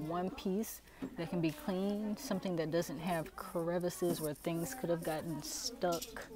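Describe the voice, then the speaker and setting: Noticeable background noise sits behind a woman's voice, recorded dry with no echo. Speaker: thrift shopping vlogger. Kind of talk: casual vlog chat. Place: shop. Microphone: earbuds.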